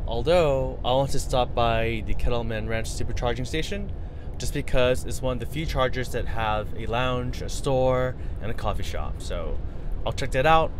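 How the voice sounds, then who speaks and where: At a moderate pace, a man speaks in a dry sound with no echo over noticeable background noise. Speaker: road trip vlogger. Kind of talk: casual vlog chat. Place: car.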